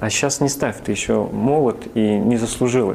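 With noticeable background noise behind him, a man speaks at a moderate pace and medium pitch with ordinary pitch variation. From northern Kazakhstan and Siberia. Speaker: church minister, former army officer. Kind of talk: testimony.

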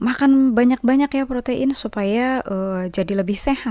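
A woman with an ordinary speaking voice talks at a moderate pace with ordinary pitch variation, recorded very cleanly against a silent background in a dry, close sound with no echo. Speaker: radio health program presenter. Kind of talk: educational talk on health. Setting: studio. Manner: explanatory, conversational.

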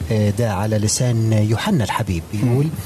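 Noticeable background noise runs under a man's voice as he speaks. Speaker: pastor. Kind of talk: religious discussion. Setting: studio. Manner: halting.

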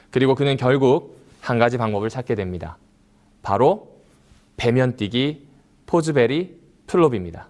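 A man at medium pitch with lively intonation and long, frequent pauses, recorded very cleanly against a silent background. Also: fairly slow pace. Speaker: pastor. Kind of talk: sermon.

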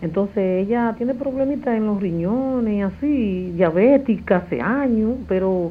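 Her intonation is lively. This woman speaks at a very slow pace. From Dominican Republic. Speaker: caller. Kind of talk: phone-in question. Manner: halting.

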